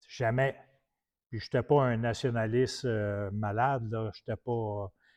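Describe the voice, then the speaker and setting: At a very slow pace, a man with a Quebec accent speaks at a medium pitch in a monotone, flat intonation. The background is quiet and the sound is dry and close, with no echo. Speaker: preacher. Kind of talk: sermon.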